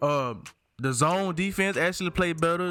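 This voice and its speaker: Speaking at a moderate pace, a man with a Southern US accent has a bright, sharp tone. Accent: country Southern. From Alabama. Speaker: gaming YouTuber. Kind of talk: casual video game commentary. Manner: animated.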